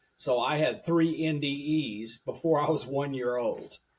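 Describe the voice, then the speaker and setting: A man's fairly high voice at a fairly slow pace, in a Southern US accent. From US South, rural Tennessee and Alabama. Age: 70s. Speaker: radio engineer and professor. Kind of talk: podcast interview.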